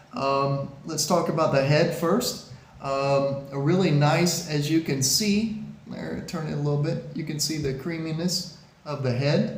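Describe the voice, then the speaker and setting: A man talks at a fairly slow pace with a fairly high pitch. Noticeable background noise and audible room echo fill the recording. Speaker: beer reviewer. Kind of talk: product review video. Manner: hesitant, many fillers.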